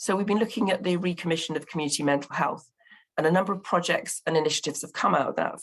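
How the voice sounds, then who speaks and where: A woman speaks in a Bristol accent. Her pitch varies in an ordinary way. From England, Bristol. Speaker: local partnership representative. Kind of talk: conference presentation. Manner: hesitant, many fillers.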